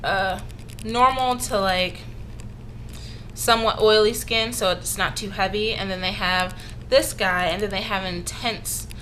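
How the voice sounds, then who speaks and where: A woman at a moderate pace with fairly even intonation, in audible room echo. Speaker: beauty vlogger. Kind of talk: casual product review. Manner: halting, many fillers.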